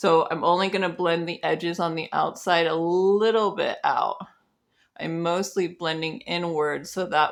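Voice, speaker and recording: A woman speaks quietly at a fairly slow pace, in a relaxed tone with fairly low pitch and ordinary pitch variation. The recording is very clean, with a silent background. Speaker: makeup artist. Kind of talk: tutorial. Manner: casual, relaxed.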